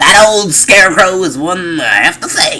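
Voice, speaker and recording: A put-on character voice at a middle pitch goes at a moderate pace over light background noise. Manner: folksy, storytelling.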